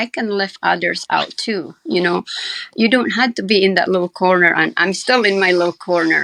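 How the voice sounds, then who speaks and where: In a dry, close sound with no echo, a woman uses an ordinary speaking voice at a medium pitch with ordinary pitch variation. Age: 60s. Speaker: cancer survivor and home baker. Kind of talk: interview.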